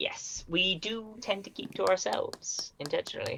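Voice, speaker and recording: Moderate pace and fairly high pitch in a put-on character voice. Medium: actual play. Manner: dry, formal.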